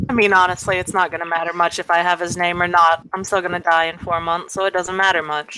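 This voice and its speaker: A woman's fairly low voice, flat and monotone, very fast with hardly any pauses, over noticeable background noise. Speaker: tabletop role-play player. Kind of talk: role-play game session.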